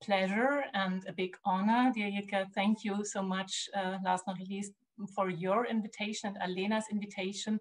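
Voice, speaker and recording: A woman with a somewhat breathy, medium-pitched voice talks at a moderate pace with fairly even intonation. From Germany. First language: German. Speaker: art historian and curator. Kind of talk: lecture. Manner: halting, many fillers.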